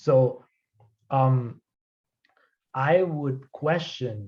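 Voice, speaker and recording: The man's voice is somewhat breathy. It has a dark, mellow tone. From Colombia. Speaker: anthropologist, lecturer. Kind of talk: academic Q&A answer. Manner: hesitant, many fillers and repetitions.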